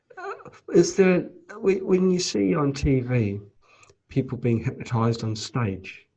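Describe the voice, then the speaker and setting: Using an ordinary speaking voice, a man of medium pitch speaks with lively intonation. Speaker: interview host. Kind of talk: interview questions.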